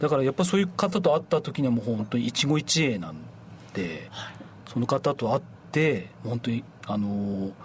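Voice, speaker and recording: Vocal fry runs through this man's voice as his pitch makes very wide swings. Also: medium pitch for a man, moderate pace. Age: 40s. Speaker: apple farmer, former hotel worker. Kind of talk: radio interview.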